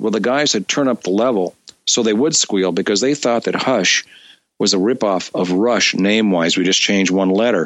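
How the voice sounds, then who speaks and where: The speaker is a man with an American accent. He talks at a moderate pace. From US West Coast, San Jose. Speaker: musician and studio owner. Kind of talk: interview.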